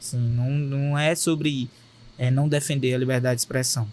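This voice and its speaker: The speaker is a man. He has a Cearense accent. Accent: Cearense Brazilian Portuguese. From Fortaleza, Ceará, Brazil. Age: young. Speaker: state deputy and content creator. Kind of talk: podcast interview answer. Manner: direct, popular.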